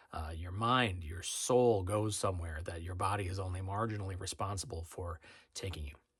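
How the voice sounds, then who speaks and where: A man's very deep, low-pitched, somewhat breathy voice with fairly even intonation, on a very clean recording with a silent background. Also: moderate pace. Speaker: restaurant critic and food writer. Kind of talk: reflective spoken intro.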